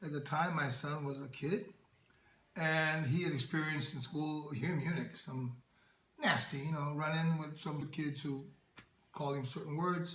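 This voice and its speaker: A man with a normal speaking voice talks at a moderate pace and a fairly high pitch, his intonation fairly even. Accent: American. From Oakland, California, USA. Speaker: actor and entertainer. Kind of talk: interview answer.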